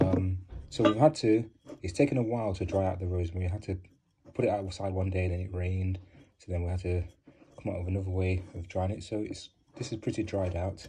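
Very fast speech from a man, very deep and low, with a dark, mellow tone, somewhat breathy, fairly even in intonation, over light background noise. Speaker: home hair care demonstrator. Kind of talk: casual tutorial chat. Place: home room. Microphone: phone near.

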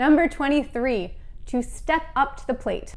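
This is a woman speaking with an American accent. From United States. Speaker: English teacher. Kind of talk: educational lesson to camera. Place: home room. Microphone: lapel.

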